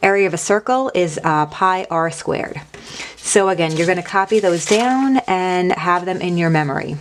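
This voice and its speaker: With noticeable background noise around her, a woman talks at a moderate pace in a medium pitch with ordinary pitch variation. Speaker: math teacher. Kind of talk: recorded lesson. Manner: casual.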